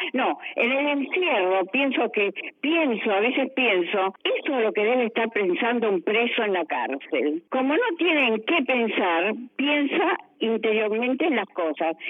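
A woman speaks at a fairly slow pace in a fairly high pitch, with very wide pitch swings and very even loudness over noticeable background noise. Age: 80s+. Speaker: retiree. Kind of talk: interview.

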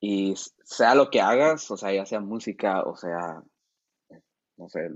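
This man's voice sits at a fairly low pitch. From San Felipe, Baja California, Mexico. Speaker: musician and producer. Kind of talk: casual chat.

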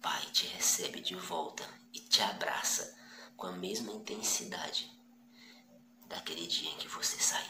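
A man's whisper, fairly slow, with long, frequent pauses. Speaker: preacher. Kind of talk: sermon, passionate exhortation. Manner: animated, urgent, direct appeals to the listener; repetitive, rhetorical questions, conversational.

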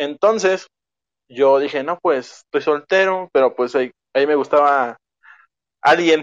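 With a Mexican accent, a man speaks with ordinary pitch variation and long, frequent pauses. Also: fairly high pitch for a man. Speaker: podcast guest. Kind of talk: casual chat. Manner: fast.

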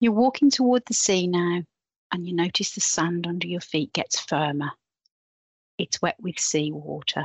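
A woman talks in a normal speaking voice with a fairly low pitch. Her intonation is lively. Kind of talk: guided meditation. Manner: slow, soothing, calm; gentle, measured pacing.

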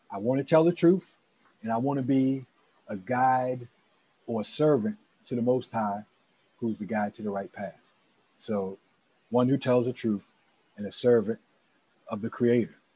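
An American-accented man with a dark, mellow tone speaks at medium pitch, with long, frequent pauses. His loudness swings widely, and the sound is dry and close with no echo. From Maryland, Anne Arundel County. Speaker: interview guest, community advocate. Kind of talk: interview.

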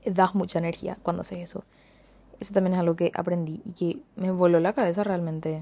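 Her dark, mellow voice sits fairly low for a woman and moves at a fairly quick pace. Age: 20s. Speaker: podcast host. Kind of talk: casual monologue. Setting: hotel room. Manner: animated.

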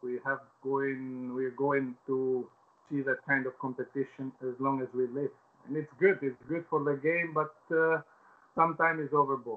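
A man with a fairly high pitch, an Albanian accent, fairly even intonation and a moderate pace. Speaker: former footballer. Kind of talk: interview. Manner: halting.

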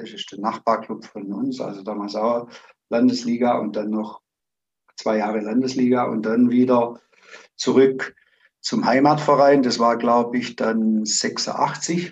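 This man has a normal speaking voice at a medium pitch. He goes at a fairly slow pace with fairly even intonation. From Zimmern, Baden-Württemberg, Germany. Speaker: amateur football coach. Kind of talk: interview.

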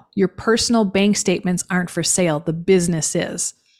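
The pace is moderate and the pitch varies in an ordinary way. It is a plain, everyday voice. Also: woman. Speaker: small business founder and business acquisition advisor. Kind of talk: interview. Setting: video call.

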